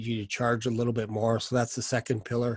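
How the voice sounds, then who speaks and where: Over a quiet background, a man talks at a moderate pace in a monotone, flat delivery with a dry sound and no echo. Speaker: sales coach. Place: home room. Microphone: studio mic.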